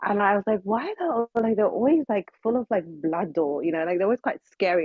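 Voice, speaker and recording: A woman with a British accent. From United Kingdom. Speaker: social audio speaker. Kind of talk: casual chat. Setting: online audio room via phone. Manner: halting, many fillers. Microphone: AirPods, away from phone.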